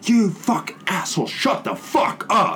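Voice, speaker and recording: A put-on character voice shouts in a shrill, fairly high pitch at a fairly slow pace, with clear background noise behind it. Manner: screeching, shouting.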